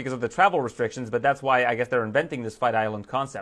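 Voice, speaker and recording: A man is speaking. The background is quiet. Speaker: MMA show host. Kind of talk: interview podcast. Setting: home basement.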